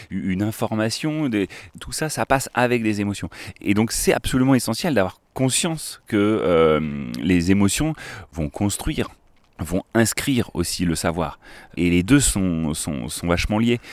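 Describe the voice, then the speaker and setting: A man's fairly low-pitched voice, fairly slow, with very wide pitch swings. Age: 30s. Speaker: river school educator. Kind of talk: casual chat. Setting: outdoors by a river. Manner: animated.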